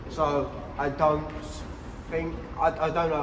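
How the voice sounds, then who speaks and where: A man talks against noticeable background noise. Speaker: car vlogger. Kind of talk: casual vlog chat. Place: garage. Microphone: camera far.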